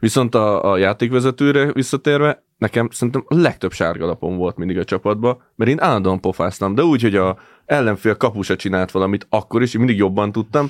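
A man talks at a fairly quick pace with hardly any pauses, fairly low in pitch with ordinary pitch variation. His loudness is very even, the sound is dry and close with no echo, and the background is quiet. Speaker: football content creator. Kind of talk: casual chat.

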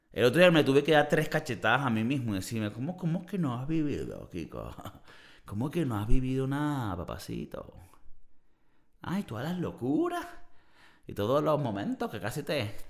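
A man's fairly high, animated voice with vocal fry, lively intonation, big swings in loudness, and a moderate pace. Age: 30s. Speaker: podcast host. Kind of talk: casual monologue.

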